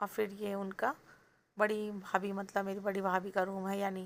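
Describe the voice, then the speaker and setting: A woman at medium pitch in a monotone, flat intonation. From Bihar, India (Danapur near Patna). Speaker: vlogger. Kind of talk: vlog narration.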